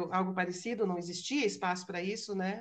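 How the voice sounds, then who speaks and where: A woman is speaking. Her pace is fairly quick. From Brazil. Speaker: philosophy lecturer. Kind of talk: lecture. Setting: video call webinar.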